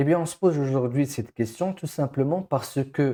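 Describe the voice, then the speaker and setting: This man has a dark, mellow tone and a fairly high pitch, with a non-native accent. The recording is very clean, with a silent background. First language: not French (speaking French). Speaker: education coach. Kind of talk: educational monologue. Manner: hesitant, many fillers.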